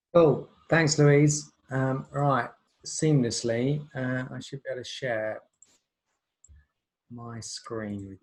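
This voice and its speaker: Speaking very slowly with long, frequent pauses, a man uses a somewhat breathy, medium-pitched voice with ordinary pitch variation and big swings in loudness. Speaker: creative director of a video agency. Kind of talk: webinar presentation. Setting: video call webinar.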